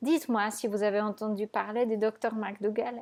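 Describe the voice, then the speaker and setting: A woman speaks at a fairly slow pace with a fairly high pitch and a non-native accent. Her tone is dark and mellow. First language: not French (speaking French). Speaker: raw vegan nutrition coach. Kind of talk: video monologue to viewers.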